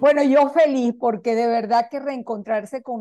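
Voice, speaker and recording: A woman's voice has a dark, mellow tone. Her intonation stays fairly even. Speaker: radio show host. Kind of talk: show introduction.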